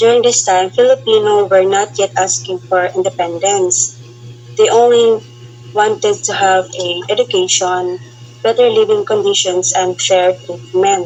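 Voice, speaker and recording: Very wide pitch swings mark this fairly slow delivery, heard over noticeable background noise. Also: woman, medium pitch for a woman. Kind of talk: student group report presentation.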